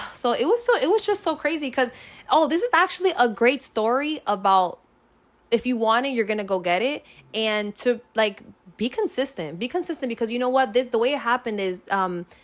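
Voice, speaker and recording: The voice is loud and animated, with very wide pitch swings. The pace is fairly quick. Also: woman, high pitch for a woman. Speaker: content creator. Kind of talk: casual chat.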